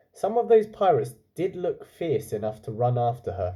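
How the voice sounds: This man's voice has a dark, mellow tone. He speaks at a fairly slow pace.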